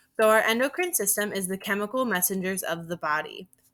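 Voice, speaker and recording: With an American accent, a woman speaks at a fairly quick pace in a bright, sharp tone with lively intonation. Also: very clean recording, silent background. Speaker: teacher. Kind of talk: recorded lesson. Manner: fast.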